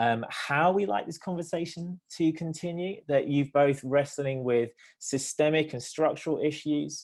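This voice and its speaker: A man with a British accent at a fairly high pitch, fairly slow in pace with hardly any pauses, ordinary pitch variation, and a very clean recording over a silent background. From Britain. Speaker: theologian and nonprofit director. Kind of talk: panel discussion. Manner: hesitant, many fillers.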